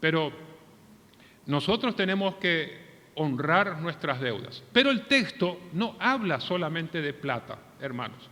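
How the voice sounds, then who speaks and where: A man's high-pitched voice with lively intonation at a fairly slow pace. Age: 60s. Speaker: pastor. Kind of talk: sermon.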